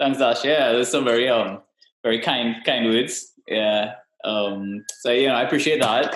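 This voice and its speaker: Music runs in the background as a man speaks. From Trinidad and Tobago. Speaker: health and wellness practitioner. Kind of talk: interview. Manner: hesitant, many fillers.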